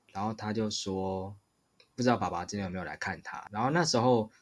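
Heard in a very clean recording with a silent background, a normal speaking voice moves at a fairly quick pace with ordinary pitch variation. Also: man. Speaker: podcast host. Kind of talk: casual chat.

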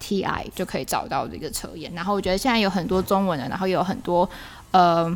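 With vocal fry, a woman talks at a medium pitch. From Taiwan. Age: young. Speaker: podcast co-host, NGO manager. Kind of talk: casual chat. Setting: closed cafe after hours.

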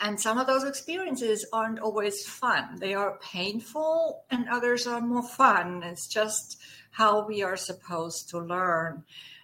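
In a German accent, a woman with a fairly high, bright, sharp voice speaks at a fairly slow pace with lively intonation. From Germany. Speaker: guest, holistic practitioner and dance enthusiast. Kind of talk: casual interview chat.

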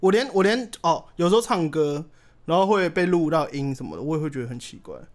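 A high-pitched man speaks at a very fast pace with lively intonation and big swings in loudness. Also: very clean recording, silent background. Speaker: podcast guest. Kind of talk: casual chat.

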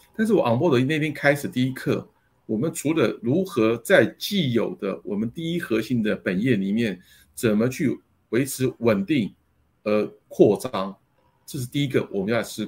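A somewhat breathy man at a moderate pace in a very clean recording with a silent background. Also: medium pitch for a man, lively intonation. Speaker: company general manager. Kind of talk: interview. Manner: halting with many fillers.

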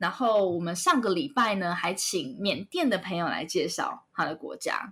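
In a very clean recording with a silent background, a woman talks with very wide pitch swings. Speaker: children's educator and YouTuber. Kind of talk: interview. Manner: energetic.

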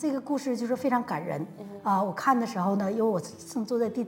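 Fairly quick speech from a woman with a fairly high pitch and ordinary pitch variation, against noticeable background noise. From Changchun, northeast China. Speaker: university Chinese professor. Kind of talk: casual interview.

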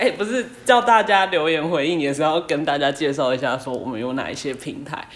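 Her voice very deep and low, a woman speaks at a fairly quick pace with hardly any pauses and very wide pitch swings. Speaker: podcast co-host. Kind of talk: casual chat.

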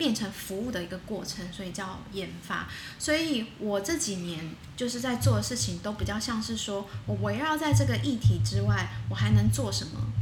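Over music in the background and audible room echo, a woman with a fairly low pitch speaks at a moderate pace, her pitch swinging very widely. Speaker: women's rights advocate. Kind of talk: interview. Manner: halting, many fillers.

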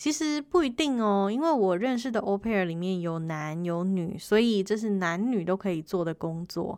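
With a Taiwanese accent, a woman speaks at medium pitch and a moderate pace with lively intonation, on a very clean recording with a silent background. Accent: Taiwanese Mandarin. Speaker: podcast host. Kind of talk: casual monologue.

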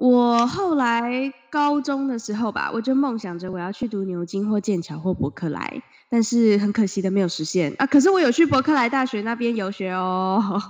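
In a normal speaking voice, a woman talks with hardly any pauses, lively intonation, and a fairly high pitch. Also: moderate pace. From Taiwan. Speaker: podcast co-host. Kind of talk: casual chat. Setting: remote Skype recording from home.

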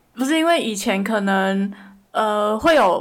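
Here a woman speaks at a fairly high pitch. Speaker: podcast co-host. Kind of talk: casual chat.

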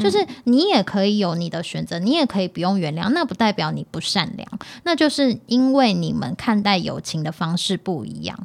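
With an animated tone and very wide pitch swings, a woman speaks at medium pitch. Her pace is moderate, with hardly any pauses. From Taiwan, Hakka family. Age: 30s. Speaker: podcast co-host. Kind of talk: casual chat. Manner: animated, laughs often.

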